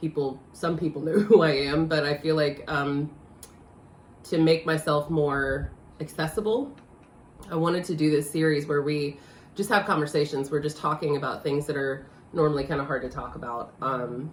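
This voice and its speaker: A woman with a very deep, low pitch speaks at a moderate pace, somewhat breathy and with fairly even intonation. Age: 40s. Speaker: life coach. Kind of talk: casual chat.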